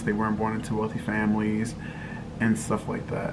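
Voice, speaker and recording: Noticeable background noise and audible room echo accompany a man. He talks at a fairly quick pace. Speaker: lifestyle vlogger. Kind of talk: casual vlog monologue.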